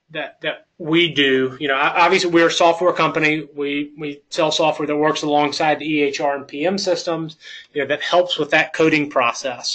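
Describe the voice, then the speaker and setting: In a Southern US accent, a man speaks at a moderate pace with a fairly high, bright, sharp voice and fairly even intonation. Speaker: software company presenter. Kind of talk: webinar presentation. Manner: halting, many fillers.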